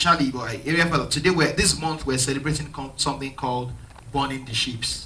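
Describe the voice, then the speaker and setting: Speaking at a fairly quick pace, a man of medium pitch keeps a fairly even intonation. Room echo is audible, and there is noticeable background noise. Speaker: pastor. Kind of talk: interview in church. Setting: church. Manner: halting.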